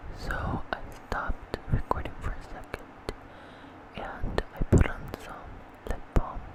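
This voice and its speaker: Whispering at a very slow pace with long, frequent pauses, the voice shows big swings in loudness over noticeable background noise. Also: woman. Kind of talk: ASMR mouth sounds video talking to camera. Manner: soft-spoken, whispering.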